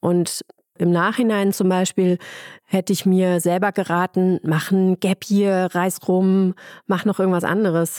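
A woman at medium pitch speaks fairly slowly in a monotone, flat intonation with very even loudness. The sound is dry and close with no echo, in a very clean recording over a silent background. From Ruhr area, Germany. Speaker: head physician in obstetrics. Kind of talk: casual interview.

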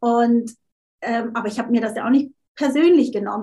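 In a high voice, a woman talks at a fairly quick pace with fairly even intonation. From Switzerland. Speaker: LinkedIn marketing coach. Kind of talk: interview.

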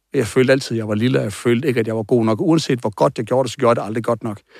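A man with a medium-pitched voice rattles along very fast, his pitch varying in an ordinary way. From Denmark, Aarhus. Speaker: coach and former bodybuilder. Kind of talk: interview testimony.

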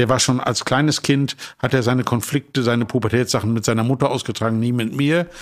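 A man with a plain, everyday voice talks at a fairly quick pace and medium pitch on a very clean recording with a silent background. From northern Germany, Emsland. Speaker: wine merchant. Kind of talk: casual chat. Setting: hotel suite.

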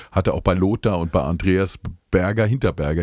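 A man with a very deep, low voice talks at a fairly quick pace with ordinary pitch variation on a very clean recording with a silent background. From Palatinate, Germany (Speyer). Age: 50s. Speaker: singer-songwriter. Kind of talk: casual interview chat.

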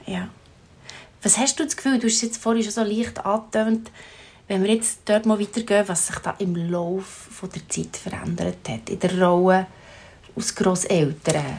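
With a Swiss accent, a woman of medium pitch sounds somewhat breathy and leaves long, frequent pauses. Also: ordinary pitch variation, moderate pace. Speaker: podcast host. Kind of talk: interview.

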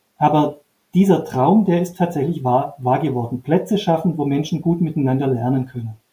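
Dark, mellow tone from a man, somewhat breathy and fairly high in pitch, with a moderate pace and ordinary pitch variation. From Upper Swabia, southern Germany. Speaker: trainer and author. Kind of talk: interview. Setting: video call.

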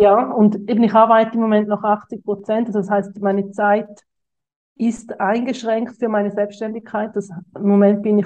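Her pitch fairly high, a woman speaks at a moderate pace with monotone, flat intonation. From Switzerland. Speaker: social media coach. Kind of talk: interview.

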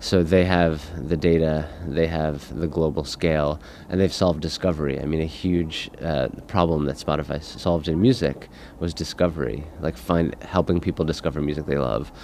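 A man with an American accent speaks at a very deep, low pitch with vocal fry, fairly even intonation and a moderate pace. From US. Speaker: podcast company founder and executive. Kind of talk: interview. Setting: conference venue.

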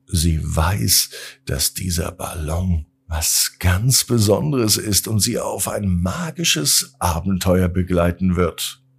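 Low-pitched and husky with a rough edge, a man speaks slowly with vocal fry and lively intonation.

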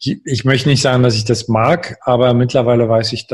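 Somewhat breathy, a man talks at a moderate pace and a medium pitch with fairly even intonation. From eastern Germany, Görlitz (Saxony). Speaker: life coach and author. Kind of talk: interview. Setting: home office, remote call.

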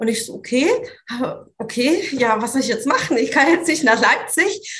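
Lively intonation from a woman at a moderate pace. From Swabia, southern Germany (Italian roots). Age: 30s. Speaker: business coach. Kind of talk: interview conversation.

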